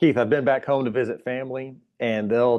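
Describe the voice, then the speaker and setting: Ordinary pitch variation marks speech delivered at a moderate tempo. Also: man. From US South, southern Alabama. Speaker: church worker. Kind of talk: casual interview. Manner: careful enunciation.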